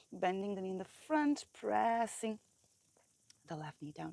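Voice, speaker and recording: A woman speaks at a fairly slow pace with a non-native accent. Her tone is calm, her intonation lively. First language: not English. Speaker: yoga teacher. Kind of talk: guided yoga class. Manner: slow, calm.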